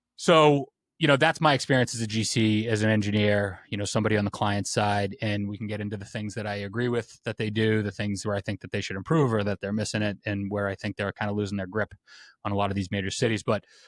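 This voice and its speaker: Spoken very fast with an American accent, the voice keeps a fairly even intonation in a dry, close recording with no echo. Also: man, fairly low pitch for a man, very clean recording, silent background. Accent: Boston accent, noticeable at times. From Boston, Massachusetts. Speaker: construction podcast host, engineer and general contractor. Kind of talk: casual interview conversation.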